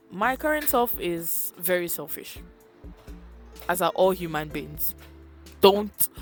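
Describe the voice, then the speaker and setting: A woman's voice with music in the background. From Nigeria. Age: young. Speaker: psychology student. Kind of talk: casual talk to camera.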